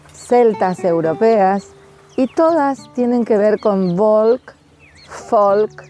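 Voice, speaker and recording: A woman's fairly high voice with ordinary pitch variation, very even loudness and a very slow pace, over noticeable background noise. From Argentina, Corrientes (Esquina). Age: 60s. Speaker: interviewee on folklore. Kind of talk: personal reflection to camera. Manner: hesitant fillers.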